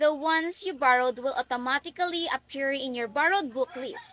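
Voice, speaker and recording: In a dry, close sound with no echo, a woman speaks at a fairly quick pace in a raised, projected voice. Her tone is bright and sharp, her pitch high and her intonation lively. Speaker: student. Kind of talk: scripted class presentation.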